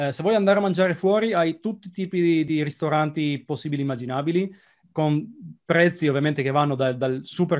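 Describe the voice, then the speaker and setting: A man is talking. His pace is very fast. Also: quiet background. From Italy, Trieste; Italy. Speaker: software developer expat; interview guest. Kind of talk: casual interview. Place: home room. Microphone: video call.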